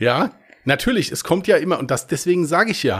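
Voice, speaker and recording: A man with vocal fry talks at a fairly quick pace, his pitch swinging very widely. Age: 40s. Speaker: podcast host and crime author. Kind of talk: casual chat.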